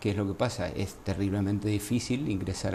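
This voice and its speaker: Speaking very fast with a fairly low pitch and ordinary pitch variation, a man talks in an Argentine accent. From Argentina, Entre Ríos province. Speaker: gynecologist. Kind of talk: interview.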